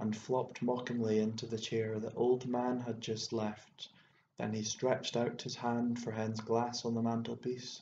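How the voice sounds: A natural reading voice is what this recording carries.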